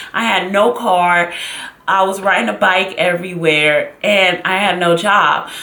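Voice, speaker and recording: Fairly even intonation marks a woman's speech, with noticeable background noise behind her. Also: medium pitch for a woman. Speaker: YouTuber / vlogger. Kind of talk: casual talk to camera, storytelling. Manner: dramatic, expressive, chatty.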